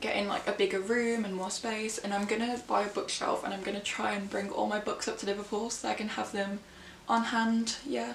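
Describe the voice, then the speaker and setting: Amid noticeable background noise and audible room echo, a woman speaks at a medium pitch and moderate pace, her pitch varying in an ordinary way. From England, Birmingham. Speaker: book vlogger. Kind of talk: casual vlog chat.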